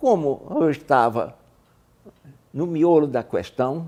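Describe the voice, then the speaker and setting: This voice has a dark, mellow tone and moves at a very slow pace. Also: man. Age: 80s+. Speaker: retired aviator and author. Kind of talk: interview. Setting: video interview.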